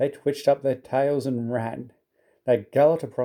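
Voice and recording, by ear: The speaker is reading aloud in a natural voice, with fairly even intonation. The background is quiet.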